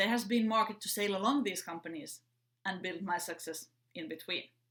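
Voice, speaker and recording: Woman with a Finnish accent, medium pitch and ordinary pitch variation, at a moderate pace with long, frequent pauses. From Finland. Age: 30s. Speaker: entrepreneur. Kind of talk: prepared talk. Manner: upbeat.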